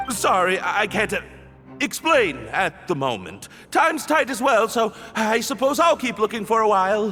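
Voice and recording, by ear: A man's high-pitched put-on character voice, bright and sharp, with big pitch swings, a moderate pace, few pauses and faint music in the background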